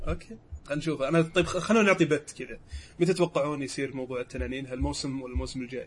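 A man talks very fast with vocal fry and a fairly high pitch. His loudness swings a lot. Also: ordinary pitch variation. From Saudi Arabia, Riyadh. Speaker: podcast co-host and producer. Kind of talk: casual chat.

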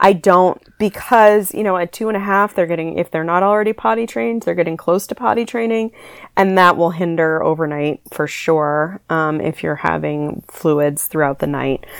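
In a very clean recording with a silent background, a woman speaks with a normal speaking voice at a fairly low pitch. Her intonation is lively, her pace moderate, with hardly any pauses. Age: 30s. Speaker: sleep consultant. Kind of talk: casual chat.

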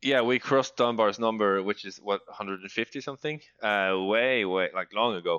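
Here a man with a Norwegian accent talks fairly quickly at a medium pitch, with hardly any pauses. His pitch varies in an ordinary way while his loudness swings widely. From Norway. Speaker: podcast co-host, teacher. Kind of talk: casual chat. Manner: halting.

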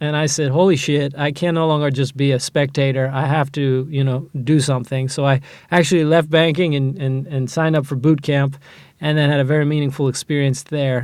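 Here a man with a General American accent speaks at a fairly quick pace. His pitch is fairly high and his intonation is monotone and flat. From US Midwest, Ohio. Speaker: angel investor. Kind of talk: interview. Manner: frequent filler words.

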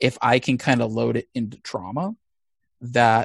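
A man with an American accent talks at a medium pitch, the sound dry and close with no echo. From US Midwest (Missouri). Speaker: comic book writer. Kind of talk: interview. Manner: frequent fillers, hesitant.

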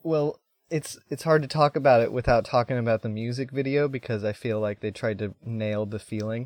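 This is a plain, everyday voice. It moves at a fairly quick pace with ordinary pitch variation. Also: man, medium pitch for a man. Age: 30s. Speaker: podcast guest. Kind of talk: casual chat.

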